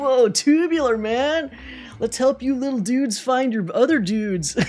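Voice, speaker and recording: Under light background noise, a female-sounding, put-on character voice at a fairly high pitch speaks at a moderate pace. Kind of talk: laid-back slang. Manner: relaxed, drawling.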